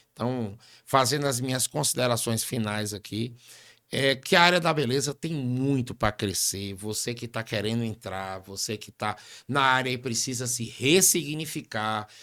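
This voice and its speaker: A man talks at a fairly slow pace in a bright, sharp tone. The recording is very clean with a silent background. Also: medium pitch for a man, ordinary pitch variation. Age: 50s. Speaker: barbershop business mentor. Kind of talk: interview conversation.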